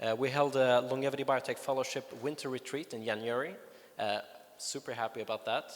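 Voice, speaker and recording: With a Swedish accent, a man talks at a fairly quick pace in fairly even intonation. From Sweden. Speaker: longevity advocate. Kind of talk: conference talk. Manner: hesitant, many fillers.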